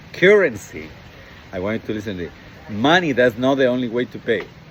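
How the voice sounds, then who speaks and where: A man with a Latin American accent speaks at a medium pitch. His intonation is lively, and background noise is noticeable. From Ecuador. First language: Spanish. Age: 60s. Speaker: dating coach. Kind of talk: motivational monologue. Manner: halting, many fillers.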